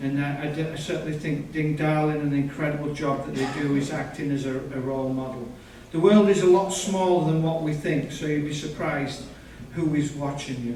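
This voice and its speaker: A man with a Yorkshire accent speaks at a moderate pace in a fairly high voice, his pitch varying in an ordinary way. Noticeable background noise and audible room echo surround him. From northern England (Yorkshire). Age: 50s. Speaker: birder and guest speaker. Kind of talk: public talk.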